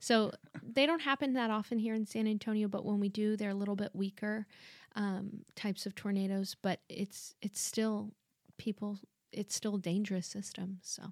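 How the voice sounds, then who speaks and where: A woman speaks at a moderate pace in a plain, everyday voice, with medium pitch and fairly even intonation. The recording is very clean and dry, close with no echo, and the background is silent. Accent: American. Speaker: TV meteorologist. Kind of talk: casual interview chat. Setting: studio.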